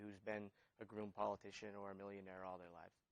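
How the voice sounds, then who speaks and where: Fairly low male voice with monotone, flat intonation. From New Hampshire. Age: 30s. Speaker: political candidate. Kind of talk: interview. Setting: studio.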